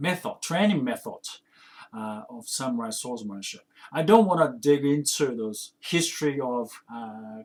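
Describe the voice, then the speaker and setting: Speaking at a fairly slow pace with long, frequent pauses, a man uses a fairly high pitch that swings very widely. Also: big swings in loudness. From Japan. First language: Japanese. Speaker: kendo instructor and podcaster. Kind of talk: casual podcast monologue. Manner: hesitant, many fillers and restarts.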